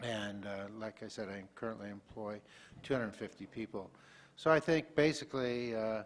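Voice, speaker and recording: Using an ordinary speaking voice, a man talks at medium pitch and a moderate pace with ordinary pitch variation and big swings in loudness. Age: 60s. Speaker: political candidate, business owner. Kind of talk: candidate forum statement.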